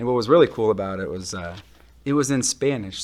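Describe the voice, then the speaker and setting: A man at a medium pitch, with ordinary pitch variation and a normal speaking voice. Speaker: senior buyer. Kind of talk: children's story read-aloud. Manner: friendly, engaging.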